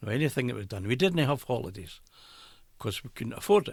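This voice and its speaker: Recorded very cleanly against a silent background, a man speaks with an Edinburgh accent. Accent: Scottish (Edinburgh). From Edinburgh, Scotland. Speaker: retired brewery worker. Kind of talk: interview answer.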